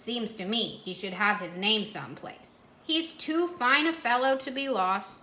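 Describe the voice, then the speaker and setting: A woman puts on a character voice, fairly high in pitch, with hardly any pauses. Her pitch swings very widely and her loudness swings a lot. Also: moderate pace. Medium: read story. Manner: gentle, musing.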